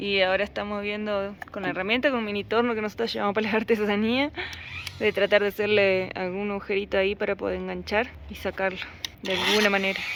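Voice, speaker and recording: Over noticeable background noise, a woman talks at a very fast pace in a monotone, flat intonation. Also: medium pitch for a woman. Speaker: motorcycle travel vlogger. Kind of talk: casual vlog chat.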